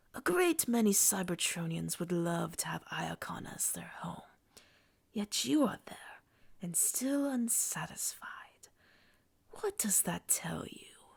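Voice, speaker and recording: A woman whispers in a put-on character voice at a fairly slow pace. Long pauses come often between her words. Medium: read story. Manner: commanding, intense.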